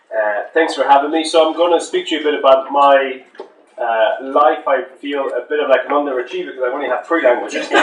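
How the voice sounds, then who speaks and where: A very fast-talking man, with noticeable background noise around him. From France, Toulouse. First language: French. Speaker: hotel manager. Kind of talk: talk at a language event. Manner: halting, many fillers.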